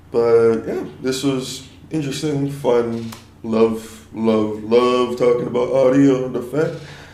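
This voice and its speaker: With audible room echo, a man at a medium pitch speaks at a very slow pace with fairly even intonation. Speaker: audio engineer. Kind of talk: mix commentary. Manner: low energy. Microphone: poor audio quality.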